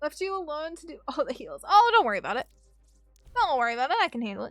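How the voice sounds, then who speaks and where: A woman's extremely high voice at a very fast pace, with very wide pitch swings, big swings in loudness, and noticeable background noise. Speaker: gaming streamer. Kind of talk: livestream chat while gaming. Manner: animated.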